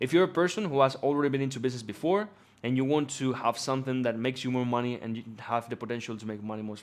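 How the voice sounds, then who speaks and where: A man's animated, medium-pitched voice at a very fast pace. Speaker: business coach. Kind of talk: casual talk to camera.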